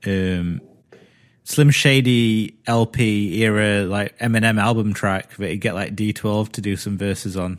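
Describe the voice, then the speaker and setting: A fairly low-pitched man with a British accent at a fairly slow pace, on a very clean recording with a silent background. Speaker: podcast host. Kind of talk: casual chat.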